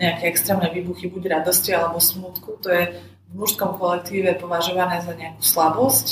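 The woman's fairly low voice moves at a moderate pace, her intonation monotone and flat. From Slovakia, Košice. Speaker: IT project manager and author. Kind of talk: casual interview. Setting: in person.

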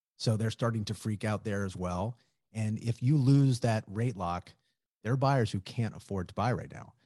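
The dark, mellow voice has ordinary pitch variation and a dry, close sound with no echo. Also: man, fairly low pitch for a man, moderate pace, quiet background. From New Orleans. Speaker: real estate broker. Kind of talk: interview.

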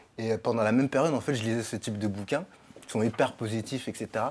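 A man with a medium-pitched, ordinary speaking voice talks at a fairly quick pace with fairly even intonation. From Paris suburbs (Sarcelles), France. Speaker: podcast guest. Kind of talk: casual chat.

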